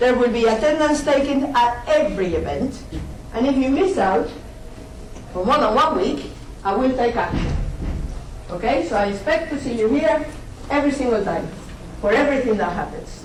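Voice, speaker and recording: A woman speaks in a high pitch with lively intonation and long, frequent pauses. Audible room echo and noticeable background noise fill the recording. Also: moderate pace. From Spain. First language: Spanish. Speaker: university lecturer. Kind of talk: lecture. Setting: lecture hall. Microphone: poor audio quality.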